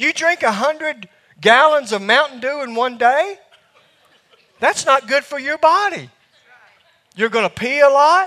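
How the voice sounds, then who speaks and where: With a Southern US accent, a man speaks at an extremely high pitch in a raised, projected voice. His intonation is lively, his pace fairly slow, with long, frequent pauses. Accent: Southern US drawl. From US South. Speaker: preacher. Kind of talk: sermon. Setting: church.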